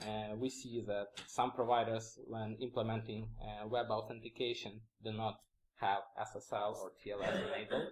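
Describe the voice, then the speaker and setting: A man speaks at medium pitch with fairly even intonation. His voice is somewhat breathy and his pace moderate. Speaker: conference speaker, security engineer. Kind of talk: conference talk. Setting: stage with audience. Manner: hesitant, many fillers.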